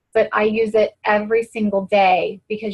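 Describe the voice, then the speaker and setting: A woman speaks at a fairly high pitch and a moderate pace. Her voice is somewhat breathy, and her intonation is monotone and flat. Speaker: fitness coach. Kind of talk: team conference call talk.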